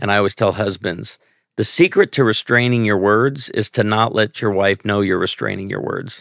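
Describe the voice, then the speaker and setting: A normal speaking voice from a man with an American accent, fairly low in pitch, with fairly even intonation at a moderate pace, dry and close with no echo, on a very clean recording with a silent background. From US Midwest, Northern Illinois (Chicago). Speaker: pastor and comedian. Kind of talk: casual interview.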